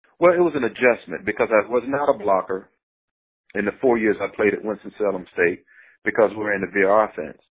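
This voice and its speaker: With an American accent, a man in an ordinary speaking voice talks at a fairly quick pace, his fairly low pitch carried by lively intonation. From North Carolina. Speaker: former pro football player. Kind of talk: interview.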